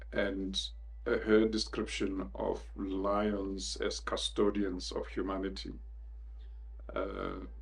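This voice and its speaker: In a room with audible echo, a man speaks very slowly with a South African accent. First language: Northern Sotho. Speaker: leadership consultant. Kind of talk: interview. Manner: reflective, with frequent hesitations.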